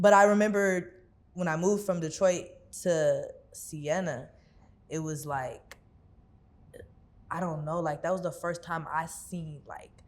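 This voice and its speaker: With an American accent and a fairly low pitch, a woman speaks at a fairly slow pace with fairly even intonation, long, frequent pauses and big swings in loudness, amid audible room echo. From Houston area, Texas (Missouri City). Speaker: rapper and singer. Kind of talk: interview. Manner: casual, filler-heavy.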